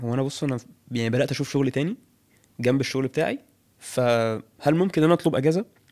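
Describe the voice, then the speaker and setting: This speaker is a man. He has an Egyptian accent. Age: 30s. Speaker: fitness coach. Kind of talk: interview. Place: studio. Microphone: studio mic.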